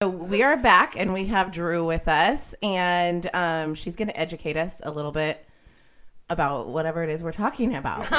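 A normal speaking voice from a woman, fairly low in pitch, at a moderate pace, in a very clean recording with a silent background. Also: ordinary pitch variation. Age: 30s. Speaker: podcast co-host. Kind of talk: casual chat.

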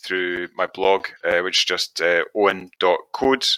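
With a Scottish accent, a man speaks at a fairly low pitch in a bright, sharp tone, using ordinary pitch variation, and the sound is dry and close with no echo. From west coast of Scotland. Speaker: web developer. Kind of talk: casual chat. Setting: live stream.

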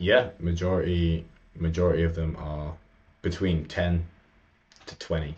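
Delivery is fairly slow and monotone, with flat intonation. Long, frequent pauses break it up, and the loudness swings widely. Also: man, very deep, low pitch for a man. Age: 20s. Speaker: men's coach. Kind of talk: interview conversation.

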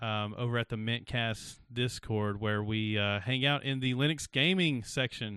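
With an unremarkable speaking voice, a man talks at a moderate pace and medium pitch, with ordinary pitch variation, very even loudness and hardly any pauses. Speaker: livestream podcast host. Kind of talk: casual chat on a live stream. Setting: live stream, online.

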